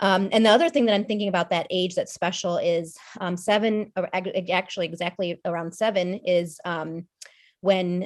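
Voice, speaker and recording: A woman at a medium pitch and moderate pace, with fairly even intonation. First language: not Arabic; speaks English. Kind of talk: podcast panel discussion. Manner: conversational, many fillers.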